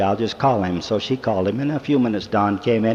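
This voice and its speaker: A man's intonation is lively, though noticeable background noise comes through. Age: 60s. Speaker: church speaker, businessman. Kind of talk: devotional talk to young people. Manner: folksy storytelling.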